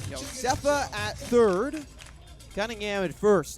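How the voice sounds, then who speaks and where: A man speaks with an American accent. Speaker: baseball play-by-play broadcaster. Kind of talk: baseball radio play-by-play.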